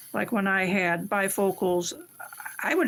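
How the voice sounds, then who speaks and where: Against noticeable background noise, a woman speaks at a medium pitch and fairly slow pace with fairly even intonation. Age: 60s. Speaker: stained glass artist. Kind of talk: live stream tutorial chat. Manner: casual, conversational.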